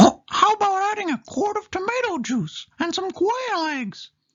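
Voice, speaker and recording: A squeaky put-on character voice at an extremely high pitch moves at a moderate pace. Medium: read story. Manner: cheerful.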